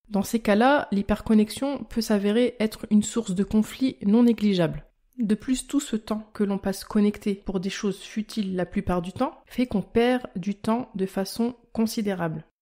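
A woman speaks with hardly any pauses, her tone dark and mellow. Her pitch sits fairly high, with ordinary variation. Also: fairly slow pace. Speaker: health podcaster and blogger. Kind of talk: scripted educational monologue.

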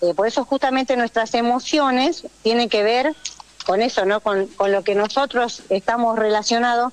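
A woman speaks with fairly high pitch and ordinary pitch variation at a moderate pace. The sound is dry and close with no echo, with noticeable background noise. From Jujuy, northwest Argentina. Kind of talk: radio interview.

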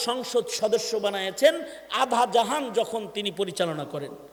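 Noticeable background noise behind a man, his pitch swinging very widely. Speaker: Islamic preacher delivering a waz sermon. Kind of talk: Bangla Islamic waz sermon.

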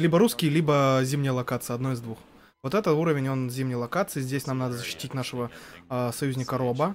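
A man speaks very fast, with ordinary pitch variation and light background noise. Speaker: gaming commentator. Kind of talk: live commentary. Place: studio. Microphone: headset.

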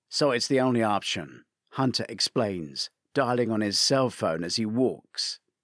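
A man speaks at a fairly low pitch and a fairly slow pace, with a fairly bright tone and lively intonation. The recording is very clean, with a silent background.

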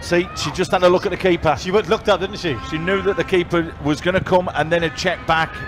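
Clear music plays behind a man who speaks at a fairly quick pace with hardly any pauses, his high pitch kept in fairly even intonation. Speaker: co-commentator, match analyst. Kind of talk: commentary.

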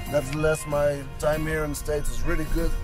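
With clear music playing in the background, a man speaks at a moderate pace. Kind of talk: casual vlog chat. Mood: disappointed but accepting. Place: car. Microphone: phone near.

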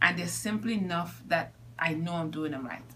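A woman's fairly low-pitched voice with ordinary pitch variation over noticeable background noise. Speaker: scoliosis patient. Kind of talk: patient testimonial interview. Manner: casual, conversational.

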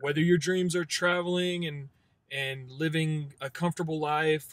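Fairly high for a man, his voice stays monotone and flat at a moderate pace. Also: dry sound with no echo. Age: 20s. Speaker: door-to-door salesman. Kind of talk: casual interview testimony; casual talk, sales advice. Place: car. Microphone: phone near.

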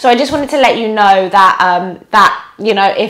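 A woman with lively intonation at a fairly quick pace. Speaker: yoga teacher. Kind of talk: casual vlog chat. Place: home room.

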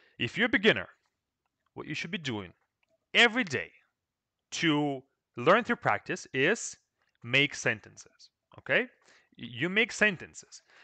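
A man with a Russian accent speaks at a fairly slow pace in a high pitch with very wide pitch swings, a bright, sharp tone and long, frequent pauses, in a dry sound with no echo against a quiet background. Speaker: Russian language teacher. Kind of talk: live stream Q&A lesson. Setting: live stream with microphone. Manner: casual, repetitive with fillers.

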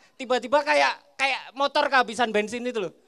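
Very fast, playful speech from a man over a quiet background. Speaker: stand-up comedian. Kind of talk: stand-up comedy set. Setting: stage with audience at a school. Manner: playful crowd banter, teasing audience members. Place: stage. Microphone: handheld.

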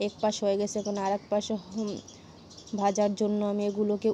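Over light background noise, a woman talks in a monotone, flat intonation. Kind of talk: cooking tutorial. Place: kitchen. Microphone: phone near.

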